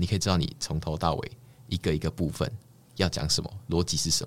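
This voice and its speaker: A man's very deep, low voice at a very fast pace. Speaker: doctoral student and presentation competition winner. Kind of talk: casual interview chat. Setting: recording studio.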